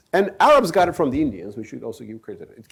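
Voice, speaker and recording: A man with a Turkish accent at a very fast pace. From Turkey. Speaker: author and speaker on Islam. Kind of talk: lecture.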